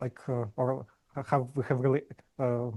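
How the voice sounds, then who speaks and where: A somewhat breathy man with a dark, mellow tone at medium pitch, moderate pace, and a quiet background. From Ukraine. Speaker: podcast host, interviewer. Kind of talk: interview. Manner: halting, many fillers and repeated words; stutters on word starts.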